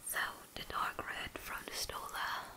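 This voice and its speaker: Whispering, a woman speaks at a very slow pace. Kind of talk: casual vlog chat.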